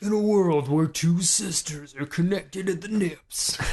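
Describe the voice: This is a put-on character voice at a middle pitch. It moves at a moderate pace.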